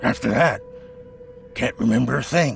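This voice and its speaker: A man does a raspy, put-on character voice at a moderate pace against clear background noise. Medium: video game. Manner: nervous, defensive.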